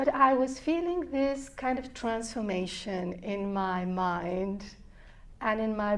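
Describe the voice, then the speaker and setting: Speaking very slowly with ordinary pitch variation, a woman with a fairly high voice is heard over audible room echo. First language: Spanish. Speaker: neuroscience researcher. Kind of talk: interview.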